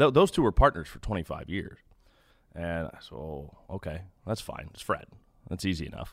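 Recorded very cleanly against a silent background, a man with an American accent and a very deep, low pitch talks at a moderate pace with lively intonation and long, frequent pauses. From Kansas City. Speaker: radio baseball play-by-play announcer. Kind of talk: casual interview chat.

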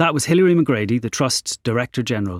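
With a plain, everyday voice, a man of medium pitch talks with ordinary pitch variation in a dry, close sound with no echo, on a very clean recording with a silent background.

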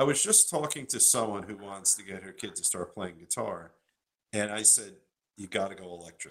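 A man talks in a plain, everyday voice at a fairly quick pace. His pitch is fairly low, with ordinary variation. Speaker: guitar show host. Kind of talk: casual chat. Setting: video call.

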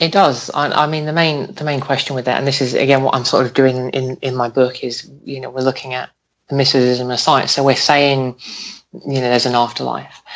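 Here a man talks at a fairly quick pace and a medium pitch, with fairly even intonation. It is an ordinary speaking voice. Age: 20s. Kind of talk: interview. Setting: Skype call.

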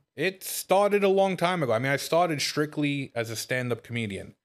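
A man with a Brooklyn accent and ordinary pitch variation, recorded very cleanly against a silent background. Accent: New York (Brooklyn). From Brooklyn, New York. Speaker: comedian. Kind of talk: casual podcast chat. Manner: humorous, joking.

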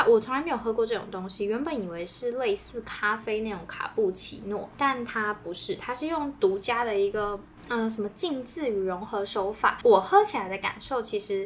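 The speech runs on with hardly any pauses. Noticeable background noise is present. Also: woman, fairly high pitch for a woman, ordinary pitch variation, moderate pace. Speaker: food podcast co-host. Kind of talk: casual chat. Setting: in-person recording together.

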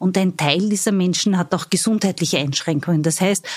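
Ordinary pitch variation runs through a voice that is somewhat breathy. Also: woman. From Austria, Styria (Judenburg). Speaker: labour market agency executive. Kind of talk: interview.

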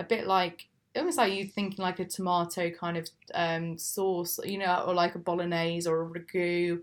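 A woman with an English accent speaks in a fairly low, monotone voice with flat intonation. She keeps a moderate pace on a very clean recording with a silent background. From England. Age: 20s. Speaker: cheese and wine business founder. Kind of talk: interview. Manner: hesitant, filler-heavy.

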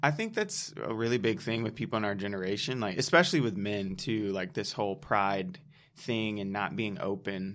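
In a normal speaking voice, a man talks at a moderate pace with fairly low pitch and ordinary pitch variation. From Detroit, Michigan. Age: 20s. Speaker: nonprofit founder. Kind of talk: casual chat.

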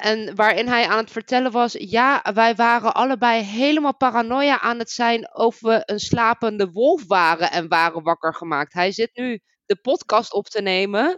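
An unremarkable speaking voice from a woman, fairly high in pitch with lively intonation, at a moderate pace with hardly any pauses. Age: 30s. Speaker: game narrator. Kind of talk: casual chat.

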